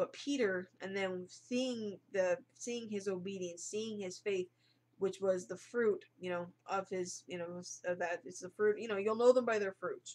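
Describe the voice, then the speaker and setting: A woman speaks at a medium pitch and a fairly slow pace. Her loudness swings widely, with ordinary pitch variation. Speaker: online Bible teacher. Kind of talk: bible study monologue. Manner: halting.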